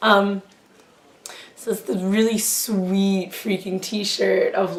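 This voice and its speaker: Speaking very slowly with an American accent, a woman is heard through audible room echo and noticeable background noise. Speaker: YouTuber. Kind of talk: casual haul review monologue. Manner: halting, many fillers.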